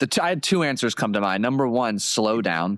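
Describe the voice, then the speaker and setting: The recording is very clean, with a silent background. On it, a man talks fairly quickly, his pitch varying in an ordinary way. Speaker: golf hypnotherapist, podcast host. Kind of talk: podcast interview conversation. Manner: fast-talking.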